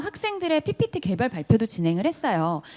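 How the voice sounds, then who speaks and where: A woman speaks with very wide pitch swings. There is noticeable background noise. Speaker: teacher. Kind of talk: conference presentation. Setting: online forum. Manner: fast.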